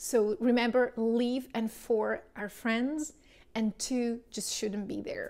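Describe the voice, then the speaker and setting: Delivered at a very slow pace, the voice has a dark, mellow tone and fairly even intonation. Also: woman. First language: Czech or Slovak. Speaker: English teacher. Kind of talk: tutorial.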